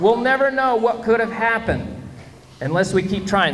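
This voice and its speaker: A man with an American accent, amid audible room echo and noticeable background noise. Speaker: school assembly presenter, former radio journalist. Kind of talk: school assembly talk to children. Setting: school assembly with children. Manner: animated.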